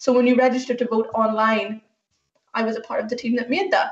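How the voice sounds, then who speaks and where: With a Northern Irish accent, a woman talks at a fairly quick pace in a high pitch. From Northern Ireland. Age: 30s. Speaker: software engineer. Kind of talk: talk to school students.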